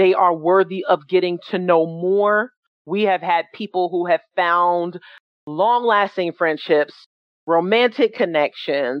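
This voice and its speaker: A woman with a normal speaking voice talks at a fairly slow pace, her pitch varying in an ordinary way. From New York City (Jamaica, Queens). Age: 40s. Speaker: founder of an atheist organization. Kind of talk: presentation.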